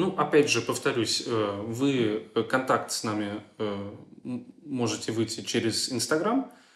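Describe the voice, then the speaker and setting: Speaking very slowly, a man keeps a medium pitch. His pitch varies in an ordinary way. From Germany. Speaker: volunteer project coordinator. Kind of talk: interview. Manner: hesitant, frequent fillers.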